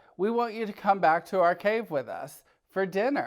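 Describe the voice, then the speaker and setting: A man puts on a character voice, pitched high. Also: moderate pace. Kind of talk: bedtime story. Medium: read story.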